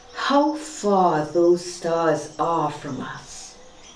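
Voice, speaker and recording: The pitch swings very widely from low to high. Noticeable noise sits in the background. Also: woman. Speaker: storyteller. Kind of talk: audiobook-style short story reading.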